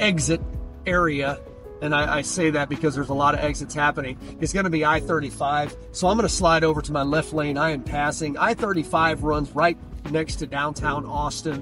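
The man talks at a fairly quick pace. His sound is dry with no echo, and music plays clearly in the background. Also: fairly even intonation. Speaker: local guide. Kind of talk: casual driving commentary. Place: car.

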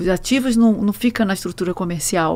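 Speaking in a Rio de Janeiro accent, a woman has a dark, mellow tone. She talks at a very fast pace. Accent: Rio de Janeiro (carioca) accent, noticeable. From Brazil, Rio de Janeiro. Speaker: truck rental executive; guest. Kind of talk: interview. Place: studio. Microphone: studio mic.

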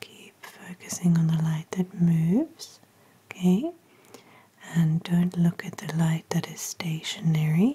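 Soft-spoken and gentle in tone, a woman talks at a fairly slow pace with fairly even intonation. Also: fairly low pitch for a woman. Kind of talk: soft-spoken role-play instructions. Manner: soft-spoken, gentle, hushed ASMR voice. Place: home room.

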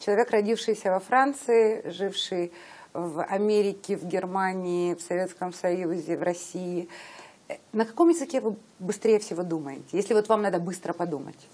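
A woman's medium-pitched voice keeps a moderate pace and shows ordinary pitch variation. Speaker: interviewer. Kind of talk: interview. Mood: warm, interested. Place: home room. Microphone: lapel.

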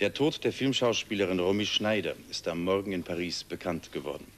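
Light background noise sits behind a man with a very deep, low voice. He speaks at a fairly quick pace with ordinary pitch variation. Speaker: news anchor. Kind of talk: TV news read. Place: studio.

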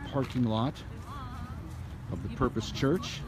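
With noticeable background noise and a dry sound with no echo, a man speaks at a moderate pace with ordinary pitch variation. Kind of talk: casual walking vlog commentary. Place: market. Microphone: phone near.

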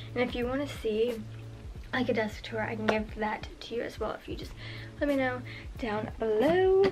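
A woman talks over clear music in the background. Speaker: beauty vlogger. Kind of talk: casual tutorial chat. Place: home room. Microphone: camera far.

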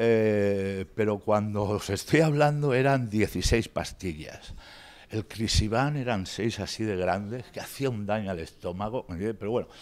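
Speaking fairly slowly, a man with a fairly low pitch uses ordinary pitch variation. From Spain. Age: 50s. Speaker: patient speaker, ex-drug user and novelist. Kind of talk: talk to pharmacists, personal testimony. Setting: workshop with audience. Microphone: handheld.

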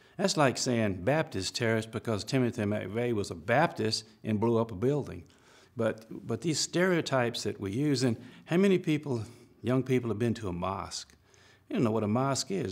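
A man's medium-pitched voice in an Alabama accent, fairly quick, with lively intonation over a quiet background. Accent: Southern American (Alabama). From Alabama, US South. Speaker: civil rights attorney. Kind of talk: interview answer, expert parenting advice. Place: studio.

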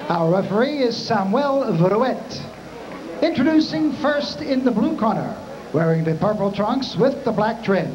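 Noticeable background noise runs under a man speaking at a fairly slow pace. His high-pitched voice has lively intonation. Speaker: ring announcer. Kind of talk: ring announcement. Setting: PA system in arena. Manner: formal. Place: hall.

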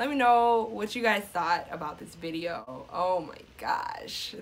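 Delivered fairly slowly, the speech carries ordinary pitch variation. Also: woman. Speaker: gaming vlogger. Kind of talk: casual gaming commentary and outro.

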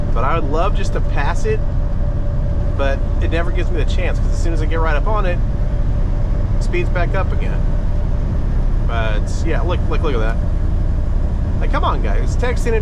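Loud background noise fills the recording as the man talks at a moderate pace, stopping often for long pauses. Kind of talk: casual vlog chat. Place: car. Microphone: camera far.

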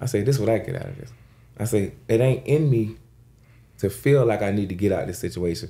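A man's fairly low, fry-edged voice at a fairly quick pace, with ordinary pitch variation and long, frequent pauses. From Jacksonville, Florida. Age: 30s. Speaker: rapper. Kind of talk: casual chat. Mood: earnest advice-giving. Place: studio. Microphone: studio mic.

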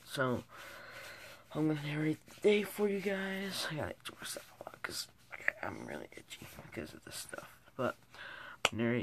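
A man whispers at a moderate pace, his loudness swinging widely, with long pauses coming often. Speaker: vlogger. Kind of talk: casual vlog chat. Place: home room. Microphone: phone near.

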